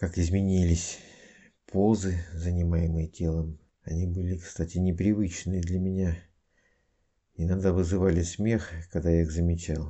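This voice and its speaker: Delivery is monotone and flat, at a fairly slow pace with long, frequent pauses. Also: man, very deep, low pitch for a man. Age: 50s. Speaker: student of a hypnosis school giving a testimonial. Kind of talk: testimony.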